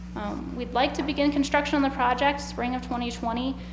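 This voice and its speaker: Noticeable background noise, audible room echo and a fairly quick pace of speech. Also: woman. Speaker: utility project representative. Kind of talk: presentation at public hearing. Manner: fast.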